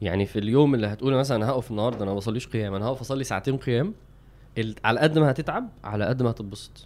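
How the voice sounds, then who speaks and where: Very fast speech comes from a man at medium pitch with ordinary pitch variation. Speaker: religious podcast co-host. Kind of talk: casual chat.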